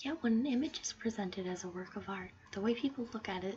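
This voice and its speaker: A soft-spoken woman against noticeable background noise. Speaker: ASMR creator. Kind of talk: ASMR soft-spoken reading of an essay for sleep. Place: home room. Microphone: studio mic.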